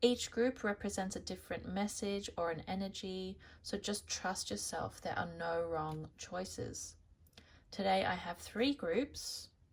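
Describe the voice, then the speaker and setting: This woman has an Australian accent and a medium pitch with vocal fry. She talks at a fairly slow pace with ordinary pitch variation. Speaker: tarot reader. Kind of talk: tarot reading to camera.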